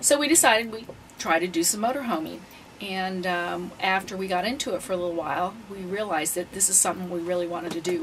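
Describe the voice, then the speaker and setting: Over noticeable background noise, a woman talks at a very fast pace in a fairly low pitch with ordinary pitch variation. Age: 60s. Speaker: retired full-time RVer. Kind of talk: interview.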